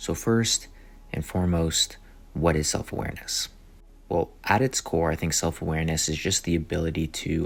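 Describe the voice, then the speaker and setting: This man has a very deep, low voice. He speaks at a moderate pace. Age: 20s. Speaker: podcast host. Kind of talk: casual self-help talk. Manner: casual, conversational.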